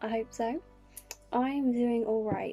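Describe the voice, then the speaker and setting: A woman's fairly high voice in a calm, soothing tone, with music in the background. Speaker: YouTuber / vlogger. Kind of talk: casual talk to camera, reading inspirational quotes. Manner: calm, soothing, gentle.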